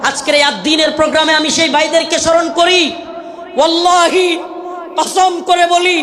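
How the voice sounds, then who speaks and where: A bellowing man's raised, projected voice, extremely high-pitched, monotone and flat, very even in loudness, over noticeable background noise. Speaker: Islamic preacher. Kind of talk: religious sermon at a large gathering. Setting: live outdoor religious gathering. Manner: fiery, roaring.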